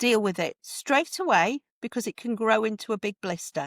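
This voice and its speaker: A woman's fairly high voice with a northern English accent and lively intonation, in a dry, close sound with no echo. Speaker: home education advocate. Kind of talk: podcast interview. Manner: animated.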